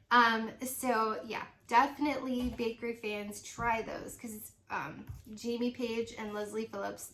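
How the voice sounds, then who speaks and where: A woman talks at a fairly slow pace and a fairly high pitch, her intonation fairly even. Her loudness swings widely, and background noise is noticeable. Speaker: independent home fragrance consultant. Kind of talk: casual product review vlog. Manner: hesitant, many fillers.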